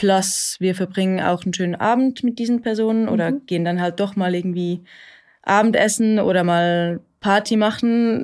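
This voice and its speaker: On a very clean recording with a silent background, a woman speaks at a medium pitch and moderate pace with ordinary pitch variation, in an unremarkable speaking voice. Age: 30s. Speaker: therapy client. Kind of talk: therapy conversation.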